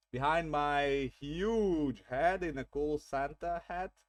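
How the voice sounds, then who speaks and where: With a non-native accent, a man speaks in a fairly high voice on a very clean recording with a silent background. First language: not English. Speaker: vtuber streamer. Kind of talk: gameplay commentary. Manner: halting.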